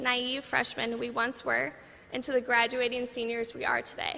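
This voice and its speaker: Speaking slowly-ish in a raised, projected voice, this woman has a high pitch and an American accent. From Minnesota. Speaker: college graduate. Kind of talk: commencement speech.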